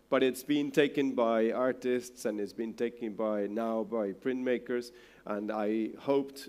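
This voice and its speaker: A man at a very slow pace with fairly even intonation. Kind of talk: presentation talk. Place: hall.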